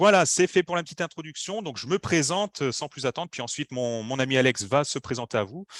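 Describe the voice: Here a man talks at a fairly quick pace and a medium pitch, with ordinary pitch variation. His tone is fairly bright, and the sound is dry and close with no echo.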